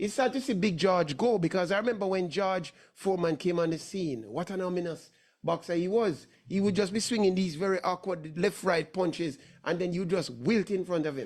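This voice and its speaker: A man with a high pitch talks in an animated tone, using ordinary pitch variation. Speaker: sports talk show host. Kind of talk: casual sports commentary chat.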